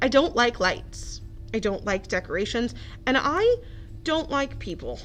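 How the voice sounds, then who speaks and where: A woman rumbles in a put-on character voice at a moderate pace. Clear background noise can be heard. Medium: read story. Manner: grumbling, sulky.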